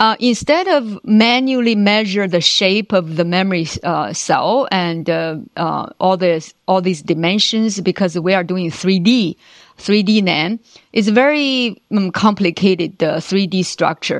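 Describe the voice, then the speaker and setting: Over a quiet background, a woman with a Chinese accent speaks at a fairly slow pace with ordinary pitch variation. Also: medium pitch for a woman. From China. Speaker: engineering executive. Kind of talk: interview. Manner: halting, many fillers.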